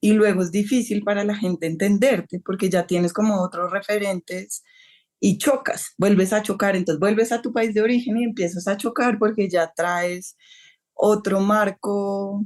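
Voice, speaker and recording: The speaker has an ordinary speaking voice. The pace is fairly slow, with ordinary pitch variation. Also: woman, quiet background. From Colombia. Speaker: novelist. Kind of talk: interview.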